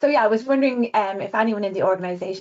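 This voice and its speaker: Woman with an Irish accent and ordinary pitch variation. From Ireland. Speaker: designer. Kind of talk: webinar presentation. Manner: fast.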